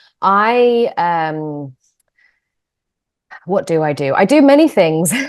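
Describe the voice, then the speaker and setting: Her pitch rises and falls very widely. The woman speaks very slowly with an English accent. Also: medium pitch for a woman. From England. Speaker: yoga teacher and manual therapist. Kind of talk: interview. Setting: video call.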